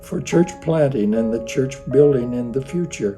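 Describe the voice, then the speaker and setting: With music in the background, a man with a fairly high pitch talks at a moderate pace with lively intonation. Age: 80s+. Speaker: retired pastor. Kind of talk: recorded personal greeting and reminiscence.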